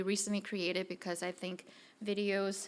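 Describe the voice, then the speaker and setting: A non-native accent at a fairly quick pace. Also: woman. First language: not English. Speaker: director of a mission study center. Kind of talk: conference presentation.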